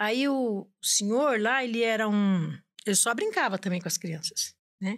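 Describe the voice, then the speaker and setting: Against a quiet background, a woman speaks at a fairly slow pace with a fairly high pitch, ordinary pitch variation and very even loudness. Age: 60s. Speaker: domestic worker; podcast guest. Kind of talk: casual chat. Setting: studio. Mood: warm, humorous storytelling. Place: studio. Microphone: studio mic.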